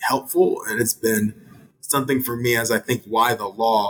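A man speaks at a medium pitch in a monotone, with flat intonation. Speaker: lawyer. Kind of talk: panel interview.

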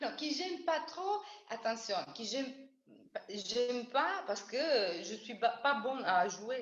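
A woman with an Italian accent speaks very slowly, her high pitch moving in very wide swings, with audible room echo and noticeable background noise. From Italy. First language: Italian (speaking French). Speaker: bassist and double bassist. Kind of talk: casual interview. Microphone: audio cutting out.

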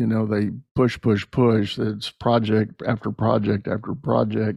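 This man has a normal speaking voice, pitched fairly low, with fairly even intonation. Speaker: podcast host and leadership coach. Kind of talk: casual interview. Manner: conversational, friendly.

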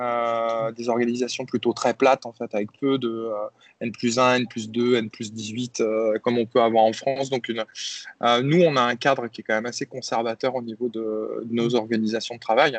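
Against a quiet background, a man of medium pitch talks at a moderate pace in a monotone, flat intonation. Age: 40s. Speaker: tech company CEO. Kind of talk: interview. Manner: hesitant, with many repetitions and fillers.

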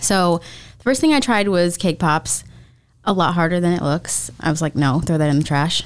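A woman with an American accent speaks at a moderate pace in a fairly low voice with ordinary pitch variation and very even loudness, an unremarkable speaking voice. The recording is very clean, with a silent background. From Florida. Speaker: small bakery owner. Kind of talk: interview.

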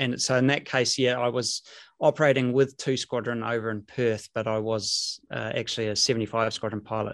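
This man talks at a moderate pace with a New Zealand accent. His pitch is medium, and the background is quiet. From New Zealand, Rotorua. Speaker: former air force jet pilot. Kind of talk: interview, recounting personal story.

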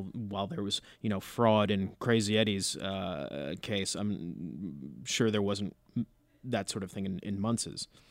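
There is vocal fry in this man's fairly low voice. He speaks at a fairly slow pace with ordinary pitch variation. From US Northeast, New Jersey. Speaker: podcast co-host. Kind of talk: casual chat.

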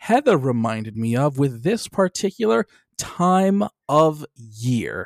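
Speaking at a very slow pace, a man uses very wide pitch swings in a dry, close sound with no echo. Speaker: podcast host. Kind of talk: casual chat. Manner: joking.

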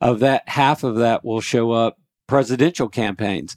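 A man with an unremarkable speaking voice talks at a moderate pace and medium pitch. The sound is dry and close with no echo, a very clean recording over a silent background. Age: 60s. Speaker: pest control business owner and state senate candidate. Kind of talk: radio interview.

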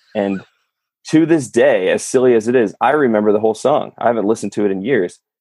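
A man with an American accent talks very fast in a dark, mellow tone with a medium pitch and ordinary pitch variation. The background is quiet. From California. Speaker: YouTuber and sock company co-founder. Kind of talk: casual interview.

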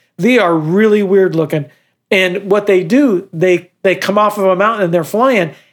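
The speaker talks at a moderate pace on a very clean recording with a silent background. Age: 60s. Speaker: podcast co-host. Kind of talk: casual chat.

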